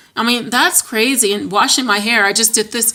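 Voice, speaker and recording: A woman speaks in an animated tone with ordinary pitch variation over noticeable background noise. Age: 30s. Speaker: vlogger sharing weight-loss surgery recovery. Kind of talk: casual vlog. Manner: fast.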